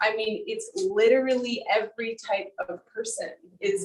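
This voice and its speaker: Speaking at a fairly slow pace with an American accent, a woman sounds somewhat breathy and moves through very wide pitch swings. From US South. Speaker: photographer. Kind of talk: artist talk Q&A. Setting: video call.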